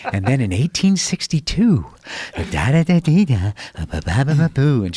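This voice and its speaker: A man uses a sing-song, put-on character voice at medium pitch with very wide pitch swings. He keeps to a moderate pace. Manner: overdramatic, exaggerated inflection, singsong rhythm.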